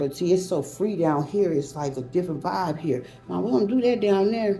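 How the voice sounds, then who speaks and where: Music plays in the background and the room echo is audible as a woman with a fairly low pitch speaks at a moderate pace in an animated tone with lively intonation. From Louisiana, raised in California. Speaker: vlogger and author. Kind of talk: casual monologue vlog.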